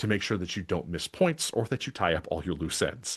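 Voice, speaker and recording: A man with a Wisconsin accent speaks at a fairly quick pace in a fairly low pitch, with very wide pitch swings. The sound is dry and close with no echo, over a quiet background. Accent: Midwestern, Wisconsin idioms. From Wisconsin, Milwaukee (US Midwest). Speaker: podcasting coach and webinar presenter. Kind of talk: scripted webinar presentation. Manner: conversational, natural read.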